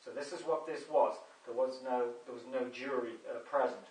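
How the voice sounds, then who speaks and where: A man with an English accent and fairly even intonation, in audible room echo. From England. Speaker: video blogger. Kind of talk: monologue video update; personal account to camera. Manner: hesitant, many fillers. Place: home room. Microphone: camera far.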